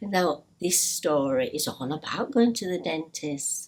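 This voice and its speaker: The pace is fairly slow. A woman speaks with a Yorkshire accent. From Yorkshire, northern England. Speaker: storytelling teacher for parents. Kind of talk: tutorial. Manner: hesitant, many fillers.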